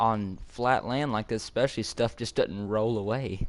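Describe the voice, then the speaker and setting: Here a man talks at a moderate pace. His intonation stays fairly even. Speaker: gaming YouTuber. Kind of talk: gameplay commentary. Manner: halting.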